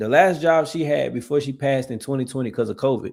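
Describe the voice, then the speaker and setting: Fairly high-pitched male voice on a very clean recording with a silent background. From US South, Georgia. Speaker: veteran reaction streamer. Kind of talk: live stream reaction chat.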